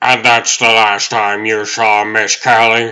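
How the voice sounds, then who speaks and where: Putting on a character voice, a man speaks at medium pitch and a fairly slow pace with monotone, flat intonation. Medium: fan dub.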